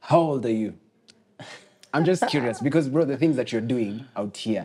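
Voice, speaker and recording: A man speaks in an unremarkable speaking voice at a medium pitch. He keeps a moderate pace with ordinary pitch variation. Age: 20s. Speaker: podcast host. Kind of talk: casual podcast interview.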